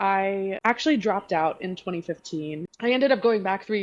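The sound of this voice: Reading done in an unforced reading voice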